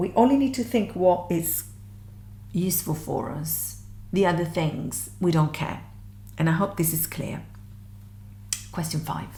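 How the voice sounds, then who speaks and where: In a room with audible echo, a woman speaks at a fairly slow pace, pausing often and at length. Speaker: music theory teacher. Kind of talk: tutorial.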